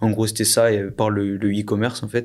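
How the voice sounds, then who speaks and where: A man speaks at a fairly slow pace. His intonation is flat and monotone. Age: 20s. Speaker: entrepreneur and podcast co-host. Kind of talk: casual interview.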